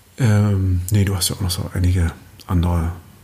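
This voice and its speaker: His tone is dark and mellow, somewhat breathy, and the man speaks at a fairly slow pace. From Berlin, Germany. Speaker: actor and author. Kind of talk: casual chat.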